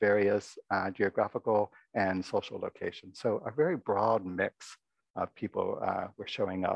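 A soft-spoken man talks at a fairly low pitch. His voice carries vocal fry and a slightly husky edge.

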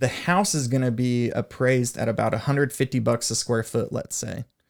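A man with an American accent uses an ordinary speaking voice at medium pitch and a moderate pace. Pitch variation is ordinary, and the recording is very clean with a silent background. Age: 30s. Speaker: mortgage loan officer. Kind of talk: casual chat.

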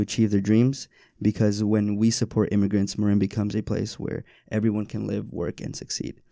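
A man talks at a fairly quick pace in a plain, everyday voice, fairly low in pitch. The recording is very clean, with a silent background. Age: young. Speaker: podcast host. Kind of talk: casual interview.

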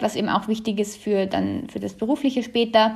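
A woman speaks in a somewhat breathy voice at a fairly high pitch, with ordinary pitch variation. The background is quiet. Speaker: student. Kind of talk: interview.

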